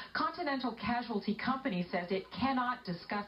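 Lively intonation marks this voice at a moderate pace. There is noticeable background noise. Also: woman. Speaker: TV news reporter. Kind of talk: TV news report narration.

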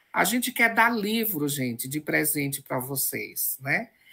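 On a very clean recording with a silent background, a woman speaks at a fairly slow pace in a bright, sharp tone with vocal fry and very wide pitch swings. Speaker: professor, event host. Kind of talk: event introduction.

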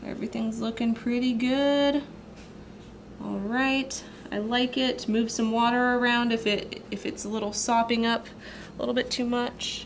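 Against noticeable background noise, a woman speaks at a fairly slow pace with monotone, flat intonation. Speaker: watercolor artist. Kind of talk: art tutorial voice-over. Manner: casual, chatty.

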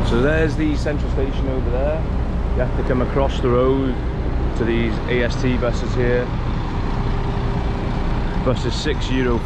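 A man at a fairly slow pace, with long, frequent pauses, over loud background noise. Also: dry sound with no echo. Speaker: travel vlogger. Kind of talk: casual vlog chat. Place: street. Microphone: phone near.

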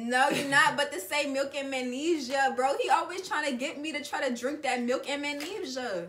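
Over light background noise, a woman uses a raised, projected voice at a moderate pace. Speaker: vlogger co-host. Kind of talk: casual vlog chat. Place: home room. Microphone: camera far.

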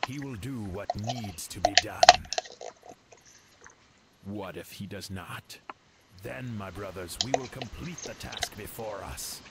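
Over loud background noise, a man performs a put-on character voice. He speaks at a fairly slow pace with a fairly low pitch. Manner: solemn, commanding.

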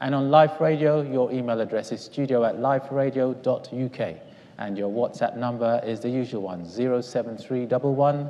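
The man's delivery is fairly slow. His pitch shows ordinary variation. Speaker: Bible study moderator. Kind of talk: Bible study discussion. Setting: church. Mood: calm, warm. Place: church. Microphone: lapel.

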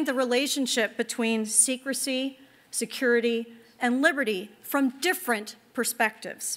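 A woman speaks in a raised, projected voice at a fairly slow pace. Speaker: event host. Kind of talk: formal welcome speech. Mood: warm, welcoming. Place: hall. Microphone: podium.

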